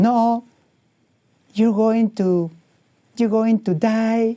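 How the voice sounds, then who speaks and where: In a Spanish accent, this voice has a dark, mellow tone and a monotone, flat intonation at a very slow pace, with a dry, close sound and no echo. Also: man. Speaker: painter. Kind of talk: motivational talk. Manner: halting.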